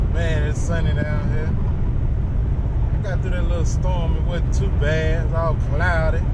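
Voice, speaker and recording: Loud background noise runs behind this recording of a man. He speaks at a fairly slow pace, and the sound is dry with no echo. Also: ordinary pitch variation. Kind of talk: casual vlog chat. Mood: relaxed, joking. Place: car. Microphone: phone near.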